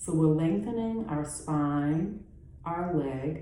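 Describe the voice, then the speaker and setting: With audible room echo, a woman speaks very slowly in a very deep, low pitch. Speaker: yoga teacher. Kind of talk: guided yoga class. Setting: at home. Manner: calm, instructive.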